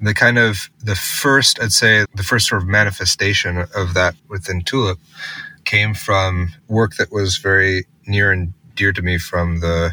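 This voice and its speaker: A man with an American accent, a very deep, low pitch, a bright, sharp tone, fairly even intonation and a moderate pace, in a dry, close sound with no echo. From US Northeast, Massachusetts. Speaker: tech company co-founder and CTO. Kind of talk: interview.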